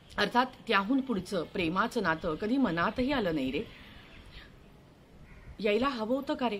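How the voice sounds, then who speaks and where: A woman's fairly high, somewhat breathy voice swings very widely in pitch. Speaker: actress. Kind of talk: dramatised reading of own short story. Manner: reflective, nostalgic.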